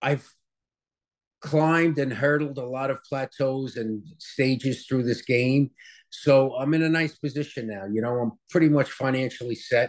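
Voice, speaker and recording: Speaking with an American accent, a man at medium pitch keeps a moderate pace and fairly even intonation. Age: 60s. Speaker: chef and restaurant owner. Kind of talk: interview. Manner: casual, hesitant with many fillers.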